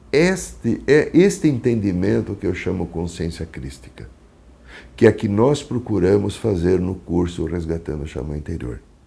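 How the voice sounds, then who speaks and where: His voice has a dark, mellow tone with vocal fry, and his pitch swings very widely. The man speaks at a fairly slow pace. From Brazil, São Paulo city. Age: 60s. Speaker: psychologist and shaman. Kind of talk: testimony. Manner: halting.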